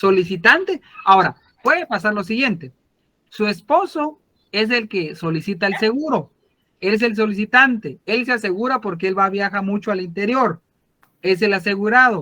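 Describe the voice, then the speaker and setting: This man's high pitch carries lively intonation as he talks at a moderate pace. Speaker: law lecturer. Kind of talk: online lecture.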